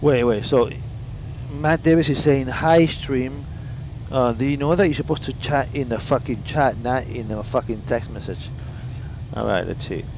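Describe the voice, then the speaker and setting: A man's medium-pitched voice at a moderate pace, with long, frequent pauses, ordinary pitch variation and noticeable background noise. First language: Italian. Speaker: flight sim streamer. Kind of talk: casual live stream chat. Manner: animated.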